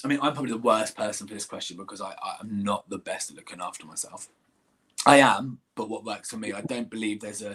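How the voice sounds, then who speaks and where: Talking at a very fast pace, a man keeps fairly even intonation while his loudness swings widely. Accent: English. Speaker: singer and musical theatre actor. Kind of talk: interview Q&A. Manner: halting, repeats words.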